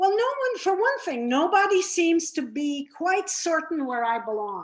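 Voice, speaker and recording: Talking in a Lebanese accent, a woman keeps a moderate pace. Her pitch swings very widely. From Lebanon, Beirut. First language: Arabic. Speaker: former FBI unit chief, speaker. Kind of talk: presentation talk.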